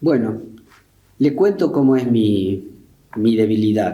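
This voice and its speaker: The voice carries a dark, mellow tone with ordinary pitch variation, and room echo can be heard. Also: man. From Argentina, Río Tercero (Córdoba). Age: 70s. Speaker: war veteran. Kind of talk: interview. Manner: halting.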